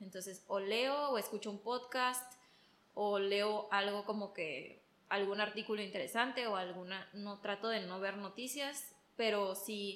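A woman at medium pitch, fairly slow pace and ordinary pitch variation, a plain, everyday voice. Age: 20s. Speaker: interior designer. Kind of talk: casual chat.

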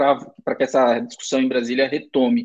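Fairly high-pitched, this man has an unremarkable speaking voice with ordinary pitch variation. He talks at a fairly quick pace. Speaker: podcast host. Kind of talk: interview.

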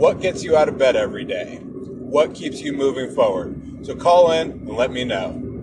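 An upbeat tone in an American accent, with hardly any pauses and noticeable background noise. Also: man, moderate pace. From Seattle, Washington. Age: 30s. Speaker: podcaster, pest control technician and rideshare driver. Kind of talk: casual monologue.

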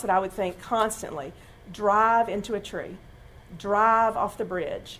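A woman talks at a moderate pace in an ordinary speaking voice. Her pitch is fairly high. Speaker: church speaker giving testimony. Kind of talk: testimony.

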